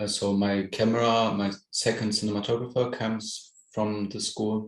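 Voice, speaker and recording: A man in a German accent, with fairly low pitch, moderate pace and monotone, flat intonation. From Germany. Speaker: film director. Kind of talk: interview. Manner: halting.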